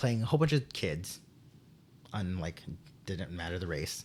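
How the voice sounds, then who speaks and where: Recorded very cleanly against a silent background, a man talks in a very deep, low pitch. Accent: American. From Texas. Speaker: theater teacher. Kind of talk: casual interview chat. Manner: halting, many fillers and restarts.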